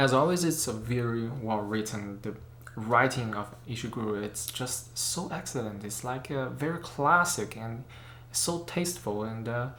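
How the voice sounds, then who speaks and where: With a non-native accent, a man speaks at a medium pitch and moderate pace with ordinary pitch variation, and audible room echo surrounds him. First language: not English. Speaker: photography and camera YouTuber. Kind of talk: casual book review vlog. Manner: hesitant, many fillers.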